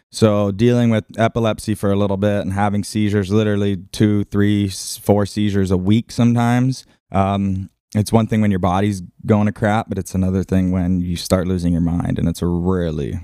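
Over a silent background in a very clean recording, a man's dark, mellow voice sits fairly low in pitch with fairly even intonation. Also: moderate pace. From Hawaii, Maui (Lahaina). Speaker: big-wave surfer and filmmaker. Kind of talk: casual interview.

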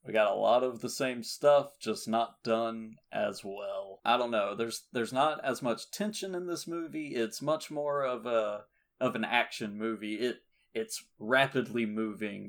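The recording is very clean with a silent background, carrying a man's ordinary speaking voice at medium pitch. He goes at a fairly slow pace with ordinary pitch variation. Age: 20s. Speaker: film podcast host. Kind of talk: casual chat.

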